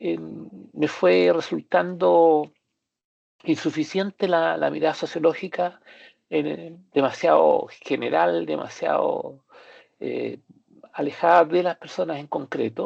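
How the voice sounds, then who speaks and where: A man talks at a very slow pace, breaking his speech with long, frequent pauses. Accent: Chilean. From Chile. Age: 60s. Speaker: psychiatrist and doctoral student. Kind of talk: academic presentation. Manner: halting, many fillers.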